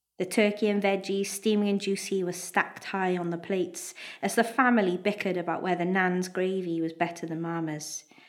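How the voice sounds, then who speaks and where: A woman with a Welsh accent speaks at a moderate pace and medium pitch, with a warm tone and fairly even intonation. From Wales. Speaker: national poet, performing her own piece. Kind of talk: literary audiobook-style reading of her own prose piece, live at a festival. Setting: live festival event with audience. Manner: warm, wry, measured storytelling pace, nostalgic.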